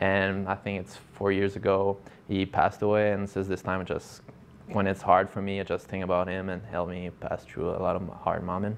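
A man's fairly low, monotone voice with flat intonation at a moderate pace, over light background noise. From Quebec. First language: French. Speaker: professional hockey player. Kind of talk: interview. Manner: halting, with many fillers and repeats.

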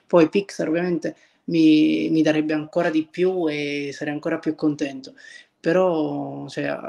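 The background stays quiet. A man talks fairly slowly. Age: 20s. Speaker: visual effects artist; interview guest. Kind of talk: casual interview. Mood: relaxed, content. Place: kitchen. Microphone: video call.

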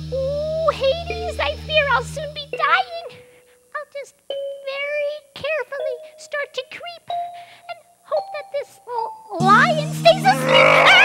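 Faint music plays in the background while someone uses a put-on character voice at a very slow pace. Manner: stammering, jittery.

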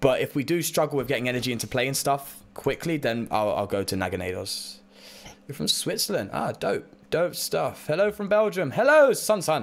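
Speaking fairly quickly in a British accent, a man with a fairly high pitch swings very widely in pitch and shows vocal fry. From Britain. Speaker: Pokemon card game streamer. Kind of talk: casual livestream chat while gaming. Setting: live stream, reading chat. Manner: chatty, upbeat, animated.

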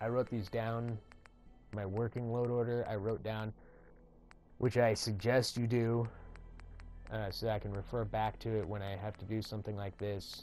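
Over music in the background, a man mumbles at a fairly low pitch in a monotone, flat intonation. He keeps a moderate pace with long, frequent pauses. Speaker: gaming tutorial creator. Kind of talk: casual gaming tutorial narration. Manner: mumbling, rambling.

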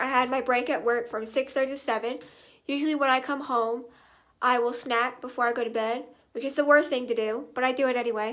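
Over a quiet background, a woman speaks at a high pitch. Her intonation stays monotone and flat. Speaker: vlogger. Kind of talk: casual vlog chat. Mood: relaxed, chatty. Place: home room. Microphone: phone near.

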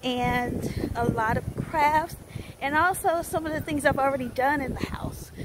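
Noticeable background noise runs under the recording. A woman with an American accent speaks fairly slowly. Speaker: small business owner and vlogger. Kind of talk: casual vlog. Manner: casual, laughs often.

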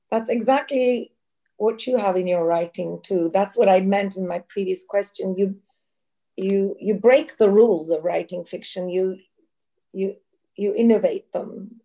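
In a Turkish accent, a woman speaks at a fairly slow pace with ordinary pitch variation and a dark, mellow tone. The background is quiet. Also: medium pitch for a woman. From Turkey. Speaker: event moderator. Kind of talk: moderated Q&A. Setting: video call. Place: home room. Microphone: video call.

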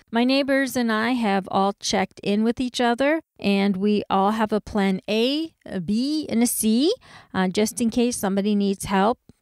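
In a Californian accent, a woman talks at a fairly high pitch and moderate pace with ordinary pitch variation and very even loudness. The recording is very clean, dry and close, with a silent background and no echo. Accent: American (California). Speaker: herbalist podcast host. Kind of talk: solo educational podcast.

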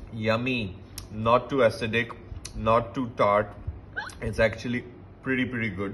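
There is a little noise in the background. A man speaks at a moderate speed. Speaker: wine reviewer. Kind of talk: tasting review commentary. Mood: relaxed, appreciative. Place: home room. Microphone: phone near.

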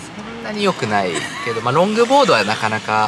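Crowd noise sits in the background as a man talks at a fairly quick pace with very wide pitch swings, his sound dry with no echo. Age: 30s. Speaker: channel owner and surfer being interviewed; interviewee. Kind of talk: casual interview. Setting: in a car. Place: car. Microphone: phone near.

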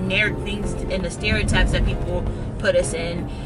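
Music plays in the background. A woman talks at a moderate pace. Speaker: vlogger. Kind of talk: casual vlog chat. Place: car. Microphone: phone near.

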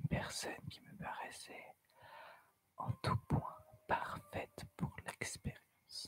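A woman is whispering at a very slow pace. Her pauses are long and frequent. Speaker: ASMR storyteller. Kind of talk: horror story narration. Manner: soft-spoken. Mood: eerie, suspenseful. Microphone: studio mic.

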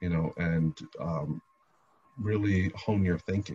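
A man with an American accent speaks in a very deep, low pitch, somewhat breathy, with fairly even intonation. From New Jersey, Jersey City; New Jersey. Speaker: lawyer and city councilman; lawyer, city councilman. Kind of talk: interview. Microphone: video call.

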